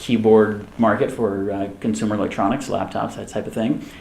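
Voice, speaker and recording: Medium-pitched speech from a man, with audible room echo. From military family, Germany and US East Coast. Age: 30s. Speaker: tech company co-founder. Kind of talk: fireside chat interview.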